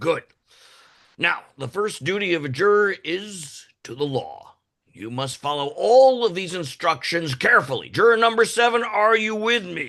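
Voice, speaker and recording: A man's high-pitched, put-on character voice at a moderate pace over a quiet background. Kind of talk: musical theatre reading. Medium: stage play. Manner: formal, stern.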